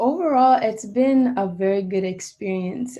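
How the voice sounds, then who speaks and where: A woman talks at a moderate pace in a dark, mellow tone. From Jamaica. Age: 20s. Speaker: saxophonist and music student. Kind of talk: interview. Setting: video call.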